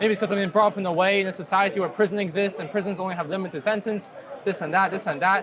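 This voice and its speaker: A man speaks at a very fast pace in a high pitch, with fairly even intonation. Crowd noise fills the background. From China. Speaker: student. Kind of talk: debate. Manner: hesitant.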